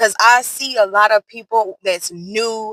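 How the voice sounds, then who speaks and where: Loud and bright with a sharp tone, a woman speaks at medium pitch in a dry, close sound with no echo. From US South. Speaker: nail art content creator. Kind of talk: tutorial. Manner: casual, chatty.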